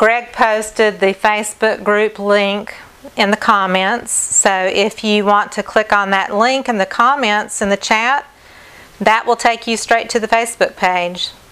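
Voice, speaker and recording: A woman with a Southern US accent speaks at a fairly slow pace in a fairly high pitch, her intonation monotone and flat, over noticeable background noise. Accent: southern twang. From North Carolina, US South. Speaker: acrylic fluid artist. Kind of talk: live stream art demonstration. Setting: live stream at home.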